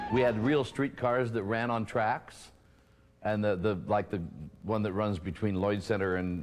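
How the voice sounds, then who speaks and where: A man speaks with an American accent at a fairly slow pace. His pitch varies in an ordinary way. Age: 70s. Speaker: drag performer. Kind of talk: interview. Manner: halting.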